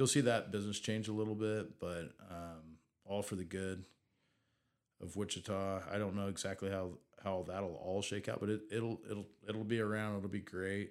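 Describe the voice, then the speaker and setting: A man with a normal speaking voice and an American accent talks at a fairly low pitch and a moderate pace with fairly even intonation. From Southeast Kansas. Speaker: entrepreneur. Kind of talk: casual chat.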